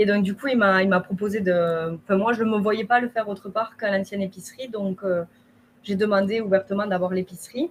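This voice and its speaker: At a fairly quick pace, a woman speaks in a somewhat breathy voice at a medium pitch. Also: fairly even intonation. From southern France, Haute-Garonne. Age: 20s. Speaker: shop owner. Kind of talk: testimony.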